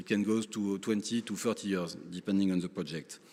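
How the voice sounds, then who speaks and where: A man with a French accent at a moderate pace. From France. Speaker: lawyer, conference speaker. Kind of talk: conference speech. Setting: conference stage with audience. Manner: halting, many fillers.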